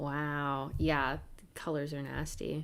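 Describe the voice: A slow woman's voice, low for a woman, fairly bright in tone, with little pitch movement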